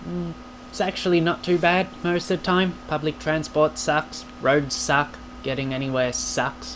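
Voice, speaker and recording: Amid noticeable background noise, a man talks at a fairly slow pace in a fairly high pitch with very wide pitch swings. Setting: home video recording to camera. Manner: animated, jokey, with fillers.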